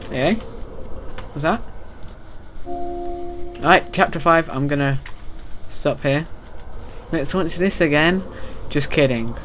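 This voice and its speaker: A man speaks at a very slow pace with long, frequent pauses. Music plays in the background. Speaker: gamer. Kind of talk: casual gaming commentary. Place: home room.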